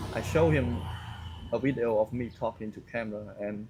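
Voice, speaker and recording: A man is speaking. He has a Cambodian accent. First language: Khmer. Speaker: vlogger. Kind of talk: casual monologue to camera. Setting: outdoors. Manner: loud; halting.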